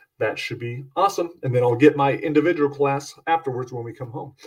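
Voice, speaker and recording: A somewhat breathy man's voice, fairly high in pitch, with ordinary pitch variation. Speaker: podcast host and horror author. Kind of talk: casual solo podcast monologue. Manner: upbeat, fast, rushed.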